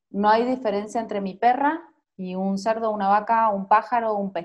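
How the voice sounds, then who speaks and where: A woman talks at a moderate pace and medium pitch with ordinary pitch variation. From Argentina, Mendoza. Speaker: journalist and marathon runner. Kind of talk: interview. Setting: video call.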